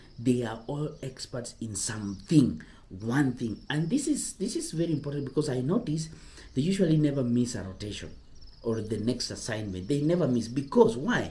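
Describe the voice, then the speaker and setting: At a moderate pace, a man talks in a somewhat breathy voice with a dark, mellow tone, a medium pitch and lively intonation. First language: not English. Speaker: cruise ship careers advisor, former ship crew. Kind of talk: casual vlog advice talk. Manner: halting, self-correcting.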